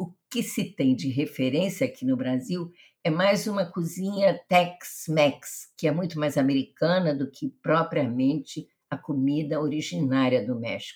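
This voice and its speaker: A woman's very deep, low voice with lively intonation at a fairly slow pace. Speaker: podcast host. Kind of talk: interview.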